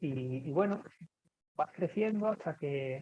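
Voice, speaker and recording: A man with a dark, mellow tone. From Andalusia, Seville. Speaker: rock musician. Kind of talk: podcast interview. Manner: hesitant, many repetitions and fillers.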